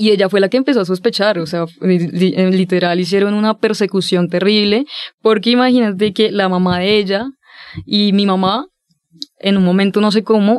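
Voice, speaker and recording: This woman talks at a moderate pace and medium pitch. Her intonation is fairly even and her loudness very even. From Colombia, Villavicencio. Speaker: podcast guest. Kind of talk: casual interview. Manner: halting.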